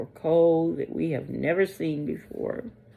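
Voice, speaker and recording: A woman's very deep, low voice. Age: 60s. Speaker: religious video blogger. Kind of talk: casual monologue. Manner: halting.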